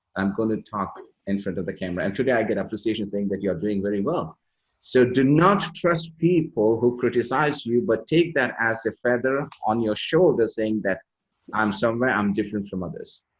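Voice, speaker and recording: A man with a Keralan accent and lively intonation. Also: medium pitch for a man, fairly quick pace. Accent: Indian English (Malayali). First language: Malayalam. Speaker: leadership coach and interviewer. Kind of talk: interview.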